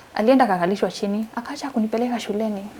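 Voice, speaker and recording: Noticeable background noise sits under the speech. The woman varies her pitch in an ordinary way. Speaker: survivor of gender-based violence, interview guest. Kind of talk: interview answer, personal testimony.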